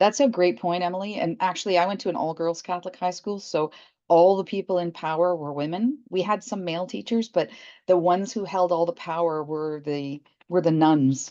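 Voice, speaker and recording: With a Canadian accent, a woman talks at a fairly quick pace in a dark, mellow tone. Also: fairly low pitch for a woman, ordinary pitch variation, quiet background. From Toronto, Canada. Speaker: chemistry professor, scientific director. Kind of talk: interview.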